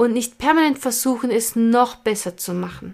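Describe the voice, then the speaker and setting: Her voice is fairly high-pitched. This woman's intonation is lively. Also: very clean recording, silent background. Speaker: podcast host and stress management coach. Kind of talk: monologue. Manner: casual, unscripted.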